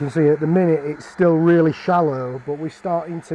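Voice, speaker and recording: A man with a Barnsley accent talks at a moderate pace in a fairly high pitch. His intonation is flat and monotone, and there is noticeable background noise. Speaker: woodturner. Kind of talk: live stream tutorial. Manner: casual, chatty.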